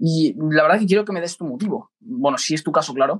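A high-pitched man at a fairly quick pace, lively in intonation, with a dry, close sound and no echo. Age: 20s. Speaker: podcast co-host, business executive. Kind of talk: casual chat.

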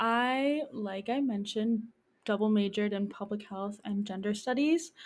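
On a very clean recording with a silent background, a woman with an American accent speaks at a fairly slow pace. Her somewhat breathy voice is fairly high in pitch, with ordinary pitch variation. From Hudson Valley, New York. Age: 20s. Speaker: community health educator. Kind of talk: casual interview.

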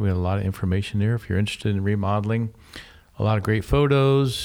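A man speaks in a normal speaking voice. His pitch sits fairly low. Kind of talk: radio DJ patter, show intro and segment return. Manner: upbeat, polished, welcoming.

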